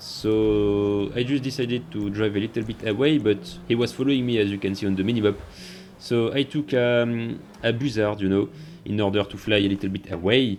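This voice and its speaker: This man's fairly low voice moves at a fairly quick pace with fairly even intonation. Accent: French. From France. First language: French. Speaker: gaming youtuber. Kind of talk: gameplay commentary narration.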